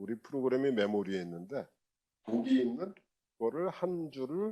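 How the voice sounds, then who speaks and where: Using a dark, mellow tone, a man speaks at a moderate pace with very wide pitch swings. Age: 60s. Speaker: university lecturer. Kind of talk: lecture. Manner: casual, conversational with filler sounds.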